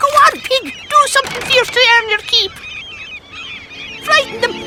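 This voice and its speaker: In a cartoonish character voice at extremely high pitch, the speaker talks at a moderate pace over faint music in the background. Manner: brisk, exclamatory.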